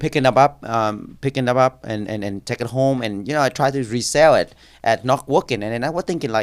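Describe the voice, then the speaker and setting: A man with a Vietnamese accent at medium pitch, a fairly quick pace, and ordinary pitch variation, in a dry, close sound with no echo on a very clean recording with a silent background. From Vietnam, moved to Orlando area at 11-12. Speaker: congressional candidate. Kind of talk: podcast interview. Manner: halting, many fillers and repeats.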